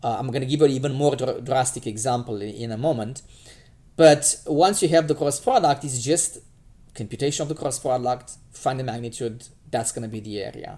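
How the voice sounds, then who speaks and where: Speaking at a fairly quick pace with a Romanian accent, a man of medium pitch has a dark, mellow tone, ordinary pitch variation and big swings in loudness. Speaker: math teacher. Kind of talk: lecture. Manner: halting, many fillers.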